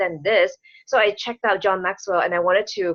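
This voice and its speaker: At a very fast pace, a woman speaks with a non-native accent. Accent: foreign accent, self-described. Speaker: business coach and speaker. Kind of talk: interview chat. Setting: online call.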